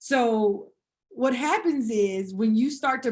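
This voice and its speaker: The speaker is a woman with a fairly high pitch. Her intonation stays fairly even. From US South, Atlanta, Georgia. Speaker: combat veteran. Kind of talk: podcast interview. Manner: halting, repeats words.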